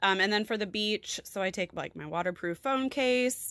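A woman's voice with lively intonation at a moderate pace, dry with no echo, against a quiet background. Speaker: lifestyle vlogger. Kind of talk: casual tutorial chat. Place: home room. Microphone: phone near.

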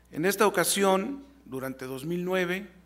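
A man's high-pitched voice, very slow, with lively intonation. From Mexico. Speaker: university rector. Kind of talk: formal ceremonial speech. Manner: formal. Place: hall. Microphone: podium.

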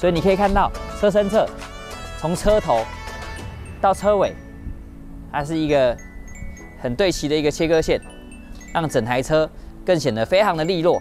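A man at a moderate pace with long, frequent pauses, dry with no echo, faint music in the background. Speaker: car salesman. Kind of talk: product walkaround presentation. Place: street. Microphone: lapel.

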